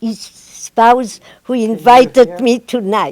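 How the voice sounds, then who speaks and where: The voice has a dark, mellow tone and a French accent. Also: woman. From Metz, France. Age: 80s+. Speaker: Holocaust survivor and former spy. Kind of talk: public talk to an audience.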